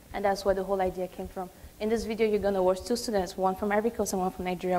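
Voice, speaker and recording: Over noticeable background noise, a woman talks at a very fast pace in a monotone, flat intonation at a medium pitch. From Cameroon. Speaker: graduate student presenter. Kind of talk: business pitch presentation.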